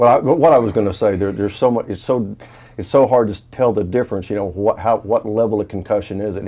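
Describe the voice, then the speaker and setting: The speaker is a man with a fairly low pitch. His tone is dark and mellow. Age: 60s. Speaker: retired pro football player. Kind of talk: interview. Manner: halting.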